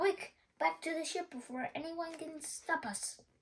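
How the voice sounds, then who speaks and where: A woman puts on a character voice with an extremely high pitch. She keeps a moderate pace. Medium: read story.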